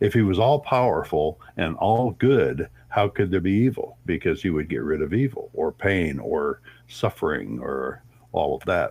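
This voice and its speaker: Vocal fry runs through a man's fairly low voice as it makes very wide pitch swings. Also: fairly slow pace. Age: 70s. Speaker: atheist activist and podcast host. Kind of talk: casual interview. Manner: halting, with fillers.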